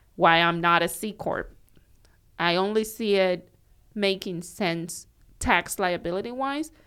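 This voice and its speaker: A woman with a Cuban accent, fairly low in pitch and fairly slow, with ordinary pitch variation, on a very clean recording with a silent background. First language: Spanish. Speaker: accountant. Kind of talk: casual chat.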